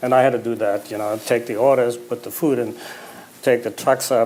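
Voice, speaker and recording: A man with a slight German accent speaks at a medium pitch. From Germany, Berlin. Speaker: memoir author, businessman. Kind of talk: on-stage interview.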